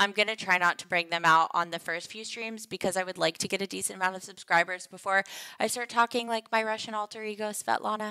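The speaker has an animated tone and a very fast pace, with big swings in loudness. The recording is very clean with a silent background, and the sound is dry and close with no echo. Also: woman, medium pitch for a woman. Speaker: game streamer. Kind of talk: livestream casual chat.

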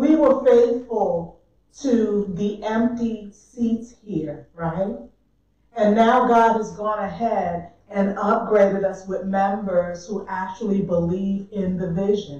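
A woman with an American accent at a very slow pace, ordinary pitch variation, audible room echo and a quiet background. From US South. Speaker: church minister. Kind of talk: sermon. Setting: church. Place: church. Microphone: camera far.

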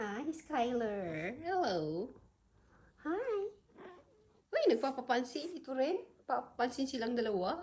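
Speaking at a very slow pace with long, frequent pauses, a woman uses a high pitch with very wide pitch swings. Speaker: vlogger. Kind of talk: casual vlog. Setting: outdoors. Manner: animated.

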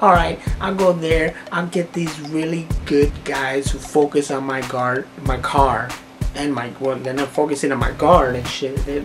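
Over clear background music, a man speaks at a fairly slow pace. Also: fairly even intonation. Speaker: vlogger. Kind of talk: casual vlog chat, storytelling rant. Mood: annoyed, exasperated. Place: home room. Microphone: phone near.

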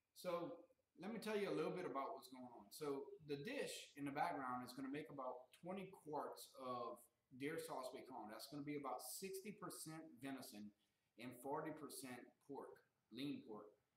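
A man talks at a moderate pace with long, frequent pauses. Room echo is audible. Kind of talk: casual cooking tutorial. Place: kitchen. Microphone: camera far.

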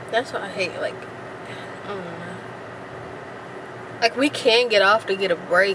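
A woman's voice amid noticeable background noise. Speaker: vlogger passenger. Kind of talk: casual vlog chat. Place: car. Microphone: phone near.

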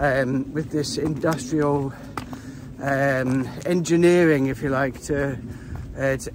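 Over noticeable background noise, a man speaks with fairly even intonation in a dry sound with no echo. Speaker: hiker vlogger. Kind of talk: casual vlog chat. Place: open country. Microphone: phone near.

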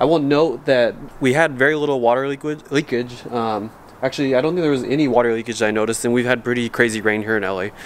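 Speaking at a very fast pace, a man lets his pitch vary in an ordinary way over light background noise. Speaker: vehicle vlogger. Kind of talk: casual vlog chat. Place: street. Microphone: phone near.

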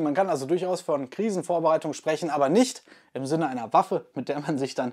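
A man speaks against a quiet background. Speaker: crossbow channel host. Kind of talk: casual vlog chat. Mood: relaxed, sometimes laughing. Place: home room. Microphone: lapel.

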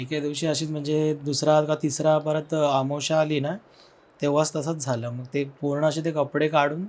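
Monotone, flat intonation from a man with a fairly high pitch. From Kamareddy, Telangana, India. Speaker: storyteller sharing personal ghost stories. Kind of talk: storytelling in podcast interview. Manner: halting.

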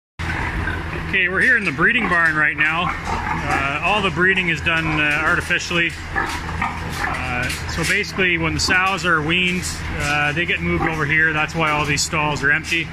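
Speech moves at a fairly slow pace over loud background noise. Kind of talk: tour guide explanation. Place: farm machine. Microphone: phone near.

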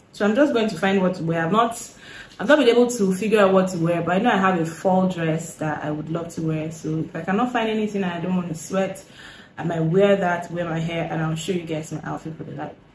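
A woman speaks at a very fast pace in a fairly low pitch with ordinary pitch variation. Light background noise and audible room echo are present. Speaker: lifestyle vlogger. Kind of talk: casual vlog chat. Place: home room. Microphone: phone near.

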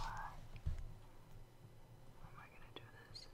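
Whispering, a man speaks at a fairly slow pace. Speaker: ASMR creator. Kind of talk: casual talk to camera, get ready with me chit chat. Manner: soft-spoken, whispery. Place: home room. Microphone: studio mic.

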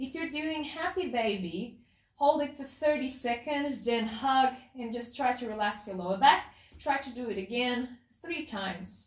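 Lively intonation at a fairly slow pace, with audible room echo. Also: woman. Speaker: pelvic health physiotherapist, clinic director. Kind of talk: exercise instruction to camera. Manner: excited, enthusiastic. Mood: calm, encouraging. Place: home room. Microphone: camera far.

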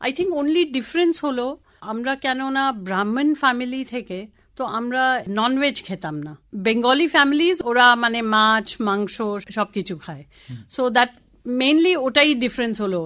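A woman with a Tamil accent speaks in a high pitch with a bright, sharp tone and lively intonation, on a very clean recording with a silent background. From Kolkata, India (Tamil family). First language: Tamil (speaking Bengali). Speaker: sustainable development professional. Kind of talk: radio interview.

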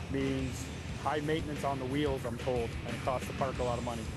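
Delivered at a fairly quick pace, the speech has a dry sound with no echo and clear music in the background. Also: man. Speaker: on-site host. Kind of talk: documentary explanation.

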